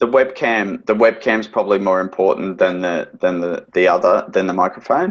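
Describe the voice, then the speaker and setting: A man with an Australian accent. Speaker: financial adviser. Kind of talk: webinar interview. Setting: video call. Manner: loud.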